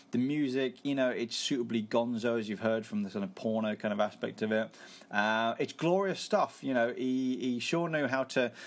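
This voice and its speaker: Over a quiet background, a man talks in a plain, everyday voice at a moderate pace with ordinary pitch variation. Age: 30s. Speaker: podcast host. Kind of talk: casual solo film review.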